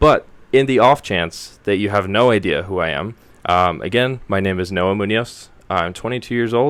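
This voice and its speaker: Very clean recording with a silent background: a man at fairly low pitch, moderate pace, ordinary pitch variation. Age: 20s. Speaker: podcast host. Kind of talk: casual monologue. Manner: halting.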